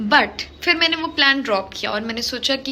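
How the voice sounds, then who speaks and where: High-pitched, animated female speech with ordinary pitch variation. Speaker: lifestyle vlogger. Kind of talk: casual vlog.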